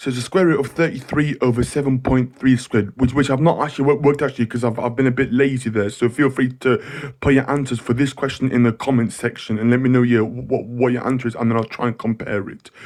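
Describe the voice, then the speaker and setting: A man's medium-pitched voice at a very fast pace, with fairly even intonation and hardly any pauses. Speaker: maths tutor. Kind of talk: tutorial.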